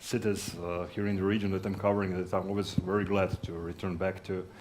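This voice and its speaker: With audible room echo, a man with a very deep, low pitch speaks at a fairly quick pace in a monotone, flat intonation. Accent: Croatian. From Croatia, Zagreb. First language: Croatian. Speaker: sales executive. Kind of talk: conference talk. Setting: stage with audience. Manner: halting.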